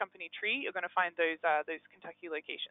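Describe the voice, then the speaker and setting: A woman is speaking. She has an Australian accent. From Australia, Melbourne. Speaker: engagement manager at a software company. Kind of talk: software webinar demo. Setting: live webinar. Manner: hesitant, many fillers.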